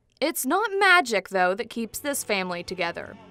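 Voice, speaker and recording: With music in the background, a woman talks fairly slowly, her pitch swinging very widely. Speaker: television news reporter. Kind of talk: TV news package narration.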